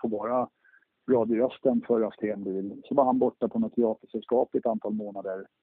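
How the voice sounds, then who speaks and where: Using fairly even intonation, a man with a medium pitch talks at a moderate pace. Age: 40s. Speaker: car dealership owner. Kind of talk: interview. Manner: halting, many fillers and repeats.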